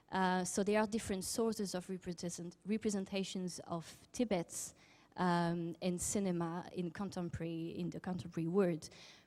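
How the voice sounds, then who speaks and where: A woman speaks with a French accent at medium pitch and a moderate pace. Her tone is dark and mellow. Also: fairly even intonation. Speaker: academic researcher in Chinese film studies. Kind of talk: conference talk. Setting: symposium with audience and interpreters. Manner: halting with many fillers.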